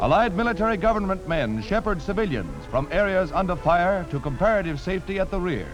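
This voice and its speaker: Over background music, a man speaks in a dramatic tone at a high pitch, with lively intonation, a fairly quick pace and hardly any pauses. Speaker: newsreel narrator. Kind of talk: vintage newsreel narration. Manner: dramatic, urgent.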